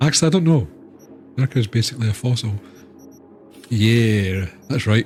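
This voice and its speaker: A man with a Scottish accent talks at a fairly quick pace and medium pitch, with lively intonation. His voice is somewhat breathy and very even in loudness, with long, frequent pauses. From Scotland. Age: 30s. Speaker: gaming streamer. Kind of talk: casual chat. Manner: animated.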